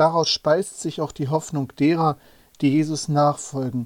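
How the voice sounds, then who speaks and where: A man's fairly high-pitched voice with fairly even intonation, in a dry, close sound with no echo. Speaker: preacher. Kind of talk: sermon. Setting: church. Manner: formal; measured, earnest.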